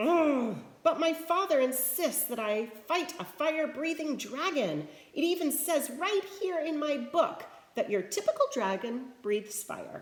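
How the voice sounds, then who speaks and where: A woman's squeaky, put-on character voice, high in pitch, with lively intonation at a moderate pace. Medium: read story. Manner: nervous, stuttering.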